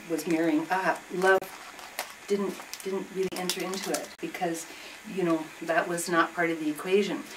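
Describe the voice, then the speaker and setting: Against noticeable background noise, a woman with a Canadian accent speaks at a fairly low pitch. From southern Ontario, Canada. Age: 60s. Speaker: retired school teacher and feminist activist. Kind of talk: group discussion, personal testimony. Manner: halting, with many fillers and restarts.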